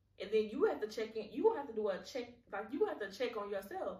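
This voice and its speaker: A somewhat breathy woman talks at a very fast pace. Audible room echo surrounds her voice. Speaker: podcast host. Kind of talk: solo podcast monologue. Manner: halting, repeats words; casual, conversational.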